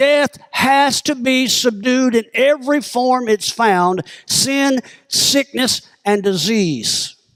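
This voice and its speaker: Speaking very slowly in a Southern US accent, a man with an extremely high pitch uses ordinary pitch variation, and the sound is dry and close with no echo. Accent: southern drawl. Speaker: pastor. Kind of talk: sermon. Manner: animated.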